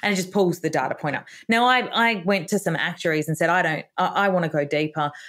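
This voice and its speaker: With an Australian accent, the speaker races along at a very fast pace with hardly any pauses and ordinary pitch variation in a very clean recording with a silent background. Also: woman, fairly low pitch for a woman. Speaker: author and retirement educator. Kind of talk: interview podcast conversation.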